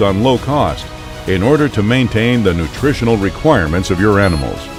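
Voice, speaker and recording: Over music in the background, a man talks at a fairly quick pace with a fairly low pitch and very wide pitch swings. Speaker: voice actor. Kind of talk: corporate commercial read. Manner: clear, engaging, motivating.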